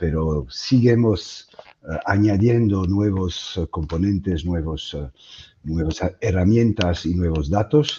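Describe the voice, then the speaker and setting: Speaking very slowly in a strong French accent, a man uses a very deep, low pitch with ordinary pitch variation. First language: French (speaking Spanish). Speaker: webinar moderator. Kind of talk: webinar introduction. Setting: online webinar. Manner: halting, many fillers.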